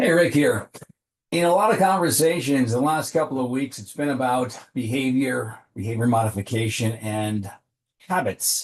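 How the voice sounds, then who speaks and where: A normal speaking voice, a man at medium pitch, moderate pace and lively intonation. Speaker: executive coach. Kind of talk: motivational talk to camera.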